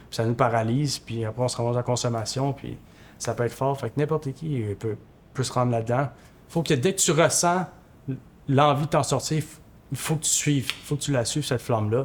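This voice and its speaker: With a Quebec accent, a man talks at a fairly quick pace in a medium, somewhat breathy voice with ordinary pitch variation, broken by long, frequent pauses. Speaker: former homeless person. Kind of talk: testimony. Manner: halting.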